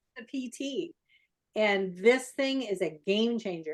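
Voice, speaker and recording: With an animated tone, a woman talks at a fairly high pitch with ordinary pitch variation. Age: 60s. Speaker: wellness channel host. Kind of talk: casual chat.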